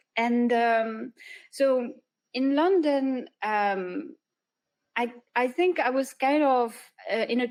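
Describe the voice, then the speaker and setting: A woman speaks in a high voice with a French accent and ordinary pitch variation. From southern France. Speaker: freelance illustrator and animator. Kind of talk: interview. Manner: hesitant, many fillers.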